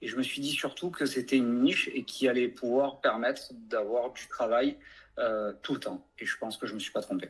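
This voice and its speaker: A man's loudness swings widely as he talks at a moderate pace. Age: 40s. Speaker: franchise owner, plumbing business. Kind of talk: interview testimony. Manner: hesitant, many fillers.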